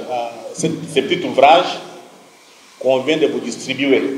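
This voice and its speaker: The speaker moves at a fairly slow pace. Noticeable background noise and audible room echo fill the recording. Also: man. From DR Congo, Kasaï. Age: 60s. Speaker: journalist and author. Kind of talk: talk to students.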